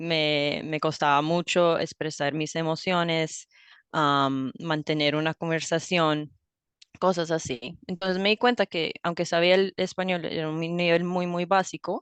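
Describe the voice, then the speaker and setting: A woman's ordinary speaking voice at a fairly slow pace, dry and close with no echo, over a quiet background. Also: fairly low pitch for a woman. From US, raised bilingual (father from Ohio, mother Colombian). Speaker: language teacher. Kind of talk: interview conversation.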